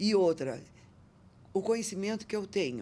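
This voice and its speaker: A woman with a medium pitch. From Brazil, northern Paraná interior. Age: 70s. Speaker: entrepreneur. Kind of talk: podcast interview. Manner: animated.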